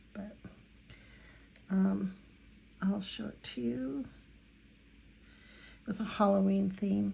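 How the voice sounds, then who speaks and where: This somewhat breathy voice with an American accent moves at a very slow pace with lively intonation, long, frequent pauses and audible room echo. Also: woman, medium pitch for a woman. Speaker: watercolor artist. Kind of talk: tutorial. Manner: hesitant, many fillers.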